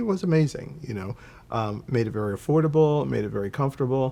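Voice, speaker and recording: A man talks in an American accent with ordinary pitch variation. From Philadelphia, US. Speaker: travel consultant. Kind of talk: interview. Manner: hesitant, many fillers.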